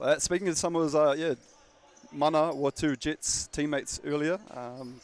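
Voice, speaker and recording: A man with a New Zealand accent speaks at a fairly high pitch. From New Zealand, Dunedin. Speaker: basketball commentator. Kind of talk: live commentary. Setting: courtside commentary, off camera. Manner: animated.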